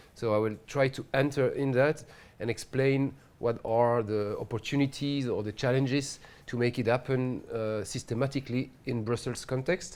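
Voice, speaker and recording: A man with a strong French accent speaks with fairly even intonation. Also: medium pitch for a man, moderate pace. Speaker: housing researcher, PhD candidate. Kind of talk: lecture. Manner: hesitant, many fillers.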